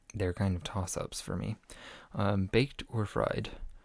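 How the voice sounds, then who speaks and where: A soft-spoken, somewhat breathy man with a fairly low pitch and ordinary pitch variation speaks at a fairly slow pace, recorded very cleanly over a silent background. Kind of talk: casual talk to camera; survey answers read aloud.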